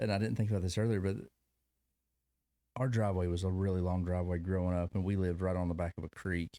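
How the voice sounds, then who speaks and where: In a very clean recording with a silent background, a man with a Kentucky accent talks at a very fast pace with long, frequent pauses, his very deep, low voice dark and mellow, with very even loudness and fairly even intonation. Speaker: podcast host. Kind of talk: casual interview chat.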